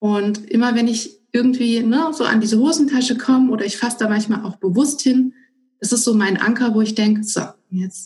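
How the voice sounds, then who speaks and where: This woman's fairly high voice is somewhat breathy, and she talks at a moderate pace. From Germany, northern Hesse. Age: 30s. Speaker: civil servant and stress management trainer. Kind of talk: interview. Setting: remote call.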